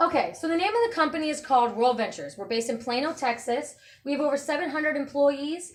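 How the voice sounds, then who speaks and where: A woman talks very fast in a high voice with lively intonation. Noticeable background noise is present. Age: 20s. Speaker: direct sales presenter. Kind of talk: sales pitch.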